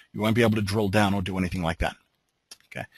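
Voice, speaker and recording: A somewhat breathy man's voice with an Australian accent, dry and close with no echo, against a quiet background. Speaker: software trainer. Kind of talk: webinar tutorial. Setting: online webinar.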